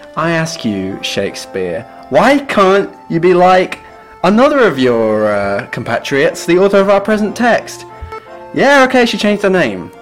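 A man talks at a fairly slow pace with very wide pitch swings. Music plays in the background. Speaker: literature podcast co-host. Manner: casual, jokey, conversational.

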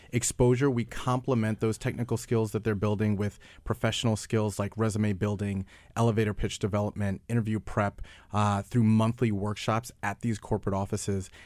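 In an American accent, a man speaks in a flat monotone at a fairly quick pace on a very clean recording with a silent background. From New York. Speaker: nonprofit founder. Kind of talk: interview. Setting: studio.

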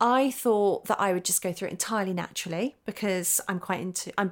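Recorded very cleanly against a silent background, a plain, everyday voice speaks with fairly even intonation. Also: woman. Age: 40s. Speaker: photographer and author. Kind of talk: interview.

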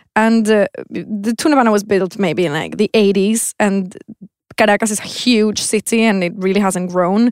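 The speaker has a Spanish accent and a fairly even intonation, talking at a moderate pace in a dry, close sound with no echo. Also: woman, medium pitch for a woman. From Venezuela. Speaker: textile designer. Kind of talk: casual chat.

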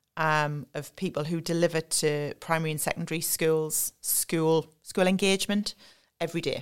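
In a Sunderland accent, a woman speaks at a fairly low pitch with fairly even intonation, on a very clean recording with a silent background. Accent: Mackem (Sunderland) North East English. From North East England, Sunderland. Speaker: learning and development staff at a car maker. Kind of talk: podcast interview.

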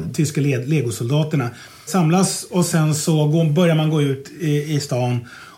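A man's dark, mellow, somewhat breathy voice at a moderate pace, with ordinary pitch variation and audible room echo. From Stockholm, Södermalm. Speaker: history podcast host. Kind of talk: casual chat.

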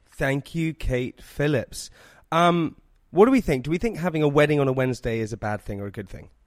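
A plain, everyday voice: a man at a fairly high pitch for a man, fairly quick and lively in intonation, with big swings in loudness, a dry, close sound with no echo and a very clean recording over a silent background. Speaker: podcast host. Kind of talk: casual chat.

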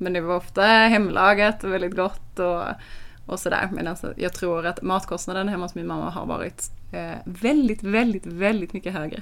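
At a moderate pace, a woman talks at a medium pitch with fairly even intonation in an ordinary speaking voice. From Sweden. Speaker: podcast co-host, food blogger. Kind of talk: casual chat. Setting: lying in bed.

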